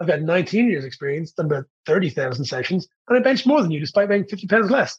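A man in a Dublin accent speaks at a high pitch and fairly quick pace with lively intonation. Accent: Dublin Irish. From Ireland, Dublin. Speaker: fitness coach. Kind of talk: casual chat.

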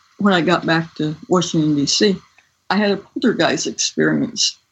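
In a normal speaking voice, a woman talks with ordinary pitch variation at a moderate pace. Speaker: scientist and author. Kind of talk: interview.

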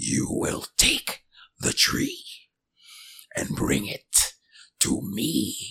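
A man puts on a character voice and talks at a very slow pace, with long, frequent pauses. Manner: mysterious.

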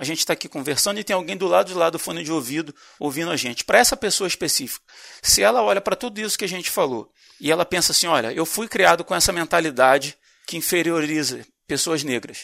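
Over a silent background in a very clean recording, a man talks at a very fast pace in a high, bright and sharp voice. His intonation is lively, and the sound is dry and close with no echo. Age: 40s. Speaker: podcast host. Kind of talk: casual discussion.

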